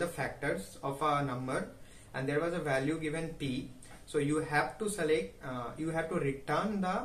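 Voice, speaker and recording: Amid audible room echo and light background noise, a man speaks with ordinary pitch variation. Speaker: recent graduate sharing job interview. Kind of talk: casual vlog chat. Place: home room.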